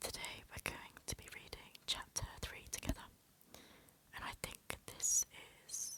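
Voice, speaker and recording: A woman is whispering. She goes very slowly. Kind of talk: soft-spoken ASMR audiobook reading. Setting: home recording for relaxation and sleep. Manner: soft-spoken, whispery, relaxing.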